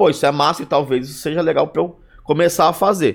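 A man's fairly high voice with vocal fry, at a moderate pace. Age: 30s. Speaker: streamer and stand-up comedian. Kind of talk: casual chat.

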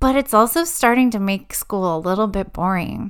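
A woman speaks in a normal speaking voice at a moderate pace with lively intonation. Her recording is very clean, the background silent. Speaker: educational podcast host and learning coach. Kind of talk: pep talk addressed to students. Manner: warm, encouraging, reassuring; conversational, storytelling, laughs.

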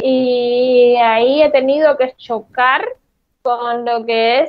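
A woman's high-pitched voice. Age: 30s. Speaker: content creator. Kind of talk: interview.

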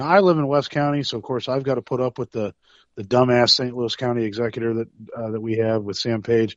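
A man is speaking here. He talks at a very fast pace with ordinary pitch variation. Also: medium pitch for a man. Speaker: caller. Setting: phone call.

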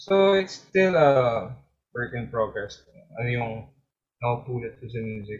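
Somewhat breathy, fairly slow speech with lively intonation, big swings in loudness and long, frequent pauses. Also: man, medium pitch for a man. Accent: Filipino. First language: Filipino. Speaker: indie musician and piano teacher. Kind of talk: casual interview, Taglish. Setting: podcast interview.

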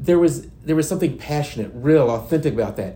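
A man with an American accent talks at a fairly quick pace, his fairly high pitch showing ordinary variation. His tone is dark and mellow and somewhat breathy, with audible room echo. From Indiana. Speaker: youth and outreach minister. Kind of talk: testimony.

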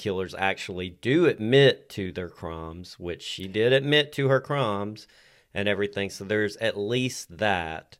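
In a very clean recording with a silent background, a man speaks fairly slowly with a Southern US accent. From Tennessee. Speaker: podcast co-host. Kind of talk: casual chat.

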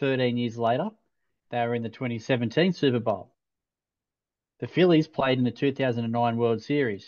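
A man at a medium pitch and a fairly slow pace. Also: quiet background. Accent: Australian. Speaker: podcast co-host. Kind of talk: casual chat. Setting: video call.

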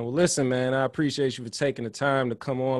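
This man has a plain, everyday voice and fairly even intonation. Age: 30s. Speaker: podcast host. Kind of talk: casual chat.

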